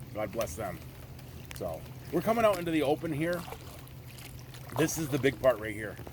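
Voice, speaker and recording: Over noticeable background noise, a man talks at a fairly quick pace with very wide pitch swings, big swings in loudness, and long, frequent pauses. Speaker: outdoor adventure vlogger. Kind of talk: casual vlog narration. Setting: outdoors, kayaking in rain.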